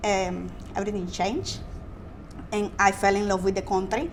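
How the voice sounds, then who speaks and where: At a moderate pace, a woman speaks amid audible room echo. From Colombia. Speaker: civil drafter, graduate. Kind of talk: podcast interview.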